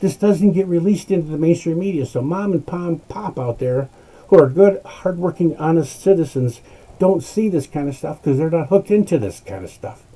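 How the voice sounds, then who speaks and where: Fairly quick, high-pitched male speech with ordinary pitch variation amid noticeable background noise. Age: 60s. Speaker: political commentator. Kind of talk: political rant. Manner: animated; halting.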